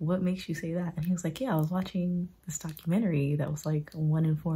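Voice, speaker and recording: A woman with an American accent talks at a fairly quick pace in a fairly low, somewhat breathy voice with a dark, mellow tone and fairly even intonation. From United States. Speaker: travel vlogger. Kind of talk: casual vlog chat. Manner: whispering at times.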